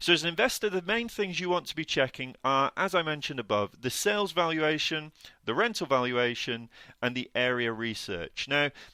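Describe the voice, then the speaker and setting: A man's bright, sharp, fairly high voice in a British accent, with lively intonation at a fairly quick pace, on a very clean recording with a silent background. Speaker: podcast co-host, property deal sourcer. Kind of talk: educational podcast talk. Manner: fast; hesitant fillers.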